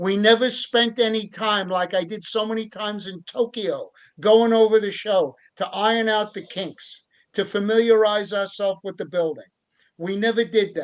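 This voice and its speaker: Against a quiet background, a man with a high pitch speaks at a moderate pace with fairly even intonation. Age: 70s. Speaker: wrestling referee and promoter. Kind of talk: casual chat.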